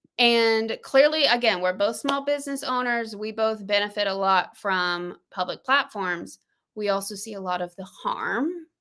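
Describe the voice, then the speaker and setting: A woman with a Southern US accent, fairly high pitch and bright, sharp tone, at a moderate pace. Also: ordinary pitch variation, very clean recording, silent background. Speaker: podcast host and small business owner. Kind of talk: casual podcast conversation. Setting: livestream. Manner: animated.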